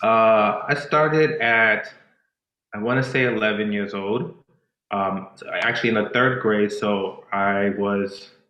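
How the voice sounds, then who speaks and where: A man at medium pitch with ordinary pitch variation and a fairly slow pace, in audible room echo. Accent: Spanish. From Boston, Massachusetts; Dominican family. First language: Spanish. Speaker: dancer and choreographer. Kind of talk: casual interview chat. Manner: halting, many fillers.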